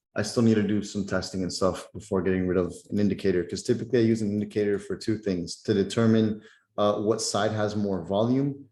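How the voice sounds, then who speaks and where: Over a quiet background, a man with a fairly low pitch talks at a very fast pace in a monotone, flat delivery with a dark, mellow tone. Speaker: trading mentor. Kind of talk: live webinar Q&A. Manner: casual, filler-heavy.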